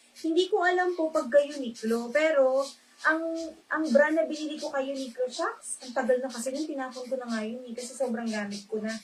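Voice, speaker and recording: Soft-spoken and fairly quick, a woman talks in a high-pitched voice with ordinary pitch variation. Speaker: online live seller. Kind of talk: live selling stream. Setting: livestream.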